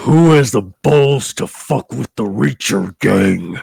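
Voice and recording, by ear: In a put-on character voice, a man growls with a menacing tone, fairly low in pitch with very wide swings, at a fairly slow pace.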